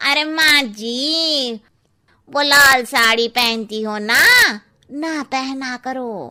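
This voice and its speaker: Doing a cartoonish character voice, a woman speaks at a very slow pace with a high pitch. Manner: cheeky, gossipy.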